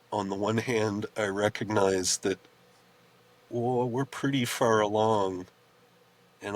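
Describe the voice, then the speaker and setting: With a normal speaking voice, a man talks at a fairly slow pace and fairly low pitch, his intonation fairly even and the sound dry and close with no echo. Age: 60s. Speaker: herbalist, farmer and teacher. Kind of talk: interview.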